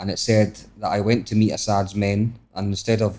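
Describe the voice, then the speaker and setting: A man with a Scottish accent speaks at a fairly low pitch in a dark, mellow tone. His voice is somewhat breathy, with monotone, flat intonation. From Scotland. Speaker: travel vlogger. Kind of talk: podcast interview. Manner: fast.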